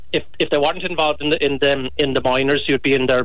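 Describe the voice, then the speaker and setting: A man with a Kerry accent speaks at a fairly high pitch. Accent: Kerry Irish. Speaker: former sports commentator. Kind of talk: interview. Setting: phone call.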